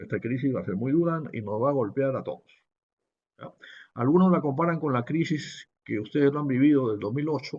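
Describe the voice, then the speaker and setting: A man with an ordinary speaking voice talks fairly quickly at a fairly high pitch, with ordinary pitch variation. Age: 60s. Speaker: business professor. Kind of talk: webinar lecture. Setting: online webinar.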